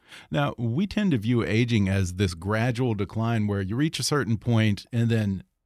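Pitch varies in an ordinary way in a normal speaking voice. Nothing is heard in the background of this very clean recording. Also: man. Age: 40s. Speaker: podcast host. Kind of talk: interview.

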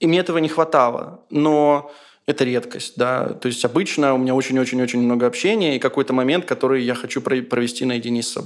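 The recording is very clean, with a silent background. A man talks at a very fast pace, at a medium pitch with ordinary pitch variation. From Ukraine, Dnipro. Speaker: journalist, film critic and radio editor. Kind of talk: interview.

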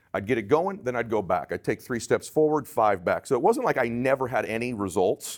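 A man with an ordinary speaking voice and an American accent talks at a fairly quick pace with hardly any pauses. His pitch is medium and his intonation lively. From Southern California. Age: 40s. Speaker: life strategist and entrepreneur. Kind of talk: interview.

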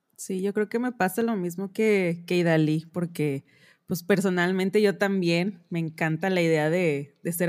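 A woman with a plain, everyday voice speaks at a medium pitch. Her pace is fairly slow. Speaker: fashion designer. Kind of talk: casual chat.

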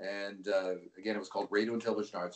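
Speaking at a fairly quick pace, a man talks with a Canadian accent. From Vancouver, western Canada. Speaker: sports play-by-play announcer. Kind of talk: interview. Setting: phone call.

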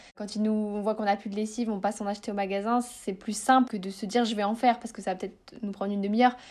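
Monotone and flat, a woman's speech runs at a very fast pace with hardly any pauses. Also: fairly high pitch for a woman. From northern France. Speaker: eco-lifestyle influencer. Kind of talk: interview. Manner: hesitant, many fillers.

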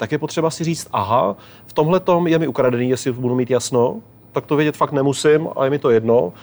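A man with a fairly high pitch talks at a fairly quick pace with ordinary pitch variation, in a normal speaking voice. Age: 40s. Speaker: traveller and documentary filmmaker. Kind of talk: interview.

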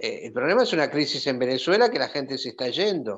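There is lively intonation as a man talks at a moderate pace in an unremarkable speaking voice. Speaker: doctor and journalist. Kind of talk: panel discussion.

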